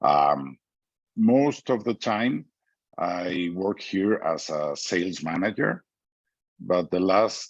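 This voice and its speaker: A man with a very deep, low pitch and a Mexican accent, lively intonation and a very slow pace. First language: Spanish. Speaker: business executive. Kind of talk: interview. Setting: video call. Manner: halting.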